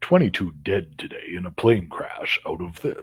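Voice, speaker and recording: In a put-on character voice, a man speaks gravelly and at medium pitch, his loudness swinging widely. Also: moderate pace. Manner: serious, grave.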